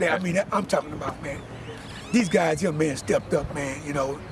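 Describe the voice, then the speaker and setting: Noticeable background noise accompanies a man with an American accent who speaks at a fairly quick pace and fairly high pitch, with ordinary pitch variation. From Galveston, Texas. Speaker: hurricane survivor. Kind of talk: street interview.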